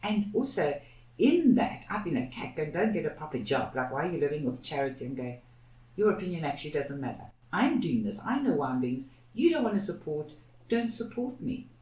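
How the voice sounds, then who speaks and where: A woman's fairly low voice with very wide pitch swings, heard with audible room echo. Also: fairly quick pace. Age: 60s. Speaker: activist, co-founder of a social justice institute. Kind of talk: podcast interview.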